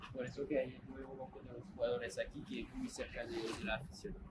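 Noticeable background noise runs under the voice. The pace is moderate. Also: man. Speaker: stadium tour guide. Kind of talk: guided tour explanation. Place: stadium.

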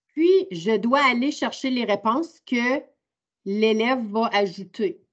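Her intonation is lively as the woman talks. Nothing much sounds behind her, a quiet background. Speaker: teacher. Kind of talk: online training workshop. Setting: video call. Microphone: video call.

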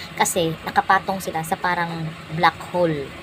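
Against noticeable background noise, a woman speaks at a fairly quick pace with a fairly low pitch. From Visayas/Mindanao (Bisaya speaker). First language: Cebuano (Bisaya) (speaking Tagalog). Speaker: vlogger. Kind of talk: casual vlog storytelling. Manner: halting, many fillers.

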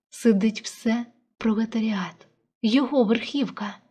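An unforced reading voice, its intonation fairly even, comes through over a quiet background.

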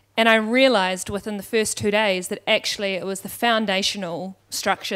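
A woman's pitch shifts in an ordinary way as she talks over a quiet background. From New Zealand, Wellington; New Zealand. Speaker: education startup founder; panelist. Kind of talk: panel discussion. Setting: stage with audience. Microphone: handheld.

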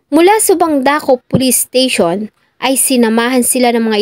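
A woman with a high pitch speaks at a moderate pace, and the sound is dry and close with no echo. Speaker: true crime narrator. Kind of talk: true-crime narration. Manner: formal, somber storytelling; measured, polite.

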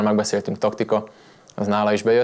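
With monotone, flat intonation, a man talks at a fairly low pitch. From Hungary. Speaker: Muay Thai fighter. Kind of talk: TV studio interview. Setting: TV studio.

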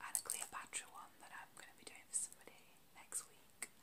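A woman whispers at a moderate pace. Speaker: ASMR creator. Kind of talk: ASMR roleplay, talking to camera. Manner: soft-spoken, whispering. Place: home room. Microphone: phone near.

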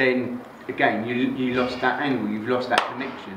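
There is noticeable background noise. A man talks over it at a fairly quick pace. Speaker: bodybuilding coach. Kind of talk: casual motivational talk. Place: gym. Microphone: camera far.

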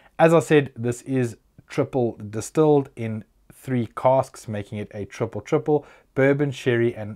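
A man with a dark, mellow tone and ordinary pitch variation at a fairly slow pace, in a quiet background. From South Africa. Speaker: whisky reviewer YouTuber. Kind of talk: product review. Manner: casual, chatty. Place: home room. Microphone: lapel.

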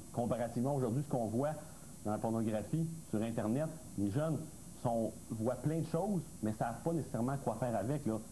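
At a fairly quick pace and a medium pitch, a man speaks with very even loudness, ordinary pitch variation and long, frequent pauses over light background noise. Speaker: expert panelist. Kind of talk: TV panel discussion. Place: studio. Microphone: lapel.

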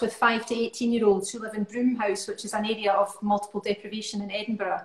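Very fast and fairly high-pitched, a woman talks in a Scottish accent with audible room echo. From Scotland. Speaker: musician and choir leader; guest. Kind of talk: casual chat.

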